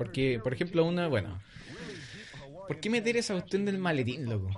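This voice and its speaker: Over noticeable background noise, a man with a fairly high voice makes very wide pitch swings and takes long, frequent pauses. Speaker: podcast host. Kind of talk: casual chat.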